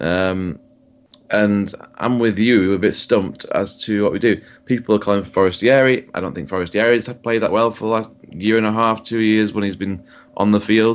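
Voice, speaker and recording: A man with a Yorkshire accent and fairly even intonation. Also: fairly low pitch for a man, moderate pace. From Yorkshire, England. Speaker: podcast co-host, football fan. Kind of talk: casual chat, sports podcast.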